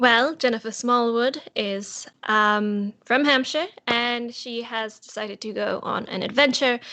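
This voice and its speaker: Against a quiet background, a woman with an English accent speaks at a fairly slow pace in a fairly high pitch, with a bright, sharp tone and fairly even intonation. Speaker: role-play game player. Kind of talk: tabletop role-play game show.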